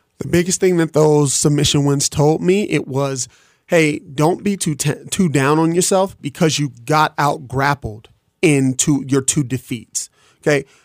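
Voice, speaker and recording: A man with an unremarkable speaking voice and an American accent talks at a fairly slow pace in a fairly high pitch, with ordinary pitch variation and a dry, close sound with no echo. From Detroit, Michigan. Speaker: MMA fighter. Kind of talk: radio interview. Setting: studio.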